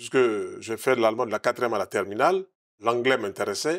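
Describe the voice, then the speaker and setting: Against a quiet background, a man with medium pitch uses lively intonation and long, frequent pauses. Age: 60s. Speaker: naturopath; interview guest. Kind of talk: TV interview. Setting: TV studio. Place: studio. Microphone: lapel.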